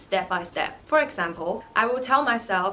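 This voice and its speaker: A woman speaks at a moderate pace in a Chinese accent. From China. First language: Mandarin Chinese. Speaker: vlogger, PhD student. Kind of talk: vlog tutorial.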